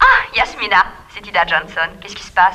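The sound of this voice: Her pitch medium and her tone bright and sharp, a woman does a put-on character voice at a moderate pace with big pitch swings.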